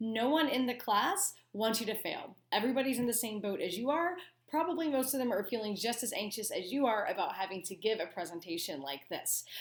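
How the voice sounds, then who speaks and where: Amid audible room echo, a woman speaks fast-ish with hardly any pauses, her fairly high voice making very wide pitch swings at a fairly quick pace. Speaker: college instructor. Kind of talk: lecture. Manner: casual with fillers.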